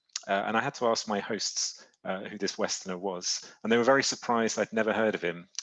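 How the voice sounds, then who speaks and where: In a British accent, a man with a fairly low pitch speaks at a fairly quick pace with hardly any pauses and fairly even intonation. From Britain. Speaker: publishing executive. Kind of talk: presentation. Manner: halting.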